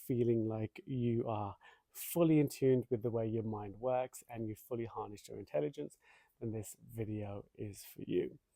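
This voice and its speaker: Recorded dry and close with no echo, a man with a dark, mellow tone speaks at a medium pitch and moderate pace, with ordinary pitch variation. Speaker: meditation teacher. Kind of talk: guided meditation lesson. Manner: hesitant with fillers.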